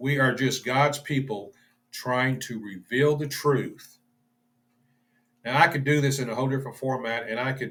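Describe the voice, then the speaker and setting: A man with a medium pitch talks at a moderate pace with fairly even intonation, leaving long, frequent pauses. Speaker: bible study teacher. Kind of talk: bible study lecture. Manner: halting, stumbles over words; informal, unscripted.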